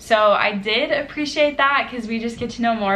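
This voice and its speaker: A woman speaks at a moderate pace with ordinary pitch variation. Audible room echo and noticeable background noise are present. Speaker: book vlogger. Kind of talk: casual vlog chat. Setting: apartment.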